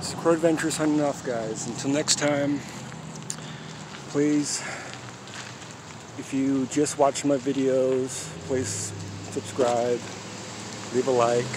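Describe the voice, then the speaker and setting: Speaking very slowly with long, frequent pauses, a man keeps his intonation fairly even, in a dry sound with no echo over noticeable background noise. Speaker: vlogger filming a public audit. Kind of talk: casual vlog chat. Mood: amused, a bit agitated. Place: street. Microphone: phone near.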